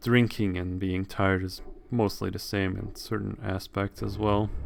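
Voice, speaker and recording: On a very clean recording with a silent background, a man with a non-native accent speaks at a fairly slow pace in a fairly low pitch with monotone, flat intonation. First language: not English. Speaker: video game streamer. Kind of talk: let's play commentary with reading aloud. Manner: halting, self-correcting while reading.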